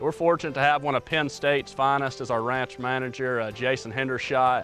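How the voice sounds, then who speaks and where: Here is a man with an Alabama accent at medium pitch. He talks at a fairly quick pace with fairly even intonation. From US South, Alabama. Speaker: deer farm owner. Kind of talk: interview.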